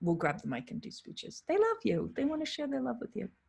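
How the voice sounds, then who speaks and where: Vocal fry with a New England accent. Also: woman. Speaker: wedding photographer. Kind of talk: live Q&A monologue. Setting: live stream. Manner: animated.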